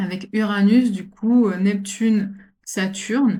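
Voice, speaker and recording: Somewhat breathy, a woman's voice sits at a fairly high pitch with fairly even intonation. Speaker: astrologer. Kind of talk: astrology forecast talk. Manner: fast; halting, many repetitions and fillers.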